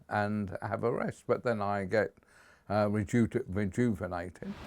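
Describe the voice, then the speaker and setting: The speech moves at a fairly slow pace with ordinary pitch variation, captured in a very clean recording with a silent background. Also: man. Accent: southern English. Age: 80s+. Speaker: community campaigner. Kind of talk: documentary interview. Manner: hesitant with fillers.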